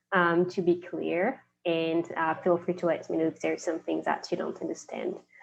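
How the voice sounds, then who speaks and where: A woman's fairly low-pitched voice with a Quebec accent. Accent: French-Canadian accent in English. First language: French. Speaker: investment analyst. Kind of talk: conference presentation. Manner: hesitant, many fillers.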